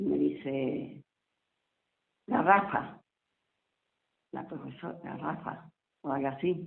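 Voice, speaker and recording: A woman speaks at a very slow pace, leaving long, frequent pauses. Her loudness swings widely. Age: 70s. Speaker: local author, elderly resident. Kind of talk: interview, life story. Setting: at home, on the balcony.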